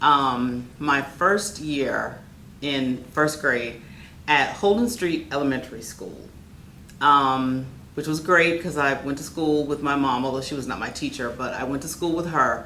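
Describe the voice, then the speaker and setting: In a room with audible echo, a woman with an American accent speaks at a fairly slow pace. Her pitch is very deep and low, with ordinary variation. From Orlando, Florida. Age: 60s. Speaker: educator. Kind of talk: oral history interview. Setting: neighborhood center.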